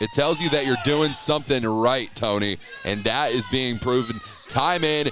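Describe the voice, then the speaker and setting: Music plays in the background as a man speaks at a medium pitch. He moves at a moderate pace with ordinary pitch variation. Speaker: color commentator for pro wrestling. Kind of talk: live pro wrestling color commentary.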